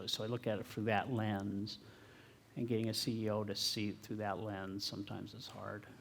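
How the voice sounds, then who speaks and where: Soft-spoken and monotone, the flat intonation moves at a moderate pace. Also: man. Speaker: tech company founder and CTO. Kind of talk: talk and audience Q&A answers.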